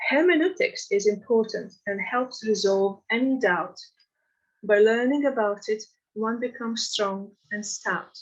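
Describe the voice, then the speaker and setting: A woman with a non-native accent speaks in a fairly high pitch. Her pitch varies in an ordinary way. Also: fairly slow pace. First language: not English. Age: 60s. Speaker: devotee reading own poem. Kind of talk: reading aloud.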